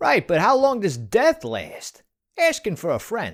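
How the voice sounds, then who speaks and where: A cartoonish character voice, fairly high in pitch and moderate in pace, over a very clean recording and silent background. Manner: sarcastic.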